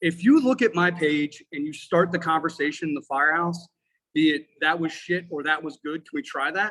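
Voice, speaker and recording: Loud and bright with a sharp tone, this voice moves at a moderate pace with ordinary pitch variation. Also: man. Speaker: firefighter and instructor. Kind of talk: casual chat. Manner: animated.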